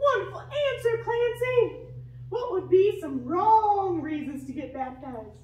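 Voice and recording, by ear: Using a cartoonish character voice with an extremely high pitch and a slightly mellow tone, a woman speaks slowly with lively intonation while the room echo is audible.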